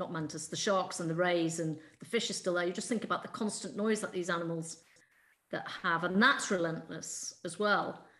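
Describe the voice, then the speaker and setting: A woman speaks at a moderate pace with fairly even intonation and a fairly low pitch. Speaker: PhD student, co-host. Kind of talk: interview, conversational. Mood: reflective, concerned. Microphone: video call.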